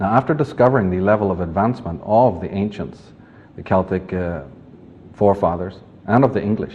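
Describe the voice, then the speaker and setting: At a fairly quick pace, a man with a Northern Irish accent speaks at a fairly low pitch. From Northern Ireland, Belfast. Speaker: author and lecturer. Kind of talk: lecture. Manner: formal.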